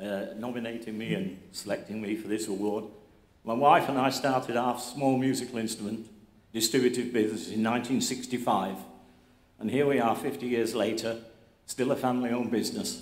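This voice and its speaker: Audible room echo surrounds a man speaking at a fairly quick pace. His pitch is medium, his intonation fairly even. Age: 80s+. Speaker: award recipient, instrument business owner. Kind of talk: acceptance speech.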